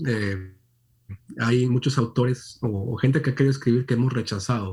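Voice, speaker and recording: Pitch shifts only in an ordinary way here. There is a somewhat breathy quality to the voice. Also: man. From Monterrey, northern Mexico. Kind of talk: interview.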